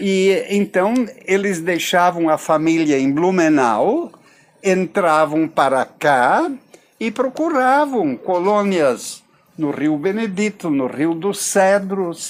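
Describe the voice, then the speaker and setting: Noticeable background noise sits behind a man speaking at a high pitch. He talks very slowly with lively intonation. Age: 80s+. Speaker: retired pastor and local historian. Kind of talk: interview. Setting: outdoors by a river.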